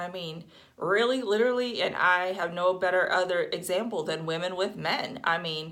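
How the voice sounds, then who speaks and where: Recorded with audible room echo, a woman with vocal fry talks at a moderate pace in a medium pitch with ordinary pitch variation. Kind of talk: casual monologue. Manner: hesitant, many fillers.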